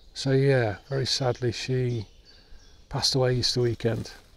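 At a moderate pace, a man speaks with a dry sound and no echo. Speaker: woodland photographer vlogger. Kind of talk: casual vlog chat. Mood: subdued, reflective, grieving. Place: forest.

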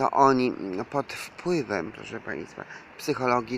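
The pace is very slow. Light background noise runs underneath. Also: man, dry sound with no echo. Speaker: self-styled preacher vlogger. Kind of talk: religious monologue to viewers. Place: street. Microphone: phone near.

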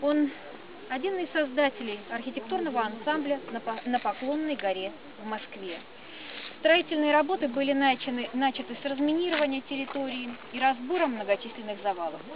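The sound is dry with no echo, and noticeable background noise runs underneath. A woman speaks at a high pitch and a moderate pace, with long, frequent pauses. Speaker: tour guide. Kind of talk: guided tour narration. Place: open country. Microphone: camera far.

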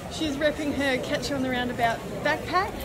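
A woman speaks at a moderate pace in a high voice. Clear background noise and clear crowd noise can be heard behind her.

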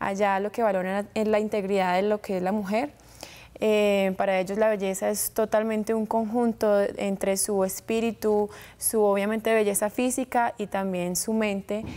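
Dark and mellow in tone, a woman speaks at a moderate pace with monotone, flat intonation. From US, Florida (Tampa), Colombian family; Florida. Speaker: beauty pageant winner; guest. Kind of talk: TV interview. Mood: poised, friendly. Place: studio. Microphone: lapel.

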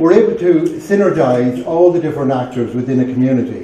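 A man with a Cavan accent talks at a fairly quick pace with ordinary pitch variation, his voice carrying audible room echo over light background noise. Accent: Irish, Cavan. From Ireland, County Cavan; Ireland. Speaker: charity chairperson. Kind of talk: speech. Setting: library event with audience. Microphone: camera far.

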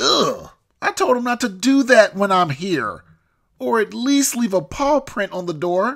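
Cartoonish character voice, fairly high in pitch, at a moderate pace. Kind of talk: comedic cartoon dialogue. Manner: irritable, sarcastic. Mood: annoyed, exasperated.

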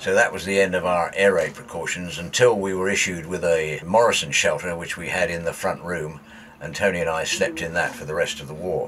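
Over light background noise, a man with a southern English accent speaks at a fairly quick pace. His loudness swings widely. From southern England. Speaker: documentary presenter and local historian. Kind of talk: documentary narration. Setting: outdoors on a boat. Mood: relaxed reminiscing. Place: boat.

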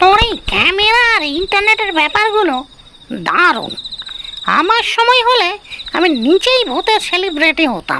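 A cartoonish character voice pitches itself extremely high. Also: moderate pace. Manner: warm, folksy.

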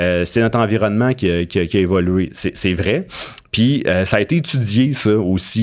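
Speaking with a Quebec accent, a man uses a fairly low pitch and a fairly slow pace against a quiet background. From Abitibi, Quebec. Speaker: university professor and researcher; university professor. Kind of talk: interview conversation. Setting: studio. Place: studio. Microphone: studio mic.

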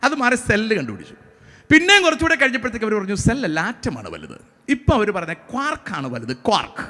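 A raised, projected voice with a bright, sharp tone and very wide pitch swings. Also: man, high pitch for a man. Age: 40s. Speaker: pastor. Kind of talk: sermon.

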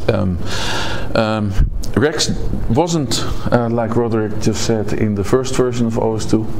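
Through noticeable background noise, a man with a Dutch accent talks at a very slow pace with ordinary pitch variation. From Netherlands. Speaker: conference speaker, software developer. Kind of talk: conference talk. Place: hall. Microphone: podium.

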